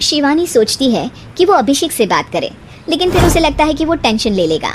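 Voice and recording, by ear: Over faint background noise, a woman talks at a fairly quick pace in a high voice with big pitch swings.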